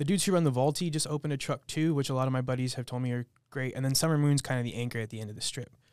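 Hardly pausing at all, a man with a medium pitch and ordinary pitch variation races along at a very fast pace. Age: 30s. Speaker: chef. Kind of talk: casual chat.

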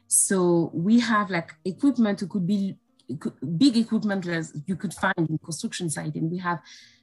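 A woman talks at a moderate pace with lively intonation. Music plays in the background. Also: medium pitch for a woman. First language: not English. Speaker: health and safety professional. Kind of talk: interview. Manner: hesitant, with fillers.

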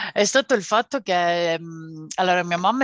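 In a dry, close recording with no echo and a quiet background, a woman uses an ordinary speaking voice at medium pitch with lively intonation. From Calabria, southern Italy. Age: 30s. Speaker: podcast co-host, mother. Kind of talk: casual interview.

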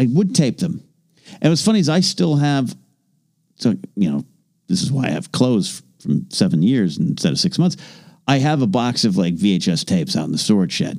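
Long, frequent pauses break up a man's moderate-paced speech, which has a medium pitch, vocal fry and very wide pitch swings. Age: 40s. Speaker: podcast co-host. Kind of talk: casual chat.

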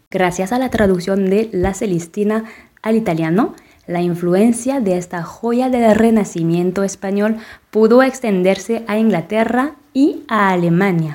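A woman with a French accent speaks at a fairly slow pace in a dark, mellow tone, her pitch rising and falling in an ordinary way. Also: medium pitch for a woman. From France. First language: French (speaking Spanish). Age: 30s. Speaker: podcast co-narrator. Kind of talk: scripted narration.

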